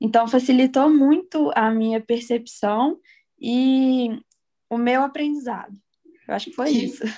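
A woman's high-pitched, dark, mellow voice at a fairly slow pace, with fairly even intonation and long, frequent pauses. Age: 20s. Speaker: law graduate and language student. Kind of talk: interview.

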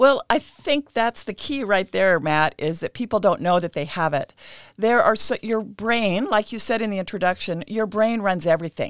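A woman with an American accent speaks in an unremarkable speaking voice, at medium pitch and a moderate pace, with lively intonation. The recording is very clean, with a silent background and a dry, close sound with no echo. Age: 60s. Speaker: nutritionist. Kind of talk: interview. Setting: studio.

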